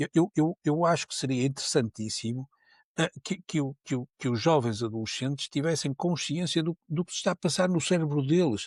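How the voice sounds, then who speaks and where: At a moderate pace, a man with a fairly high, somewhat breathy voice shows ordinary pitch variation, recorded very cleanly against a silent background with a dry, close sound and no echo. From Porto, northern Portugal. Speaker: neuroscience professor. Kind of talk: podcast interview. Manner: many repetitions and fillers; animated.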